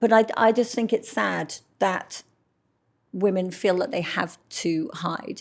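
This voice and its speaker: A woman speaks with a London accent and ordinary pitch variation. The recording is very clean, with a silent background. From London, England. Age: 60s. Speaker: model. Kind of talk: interview.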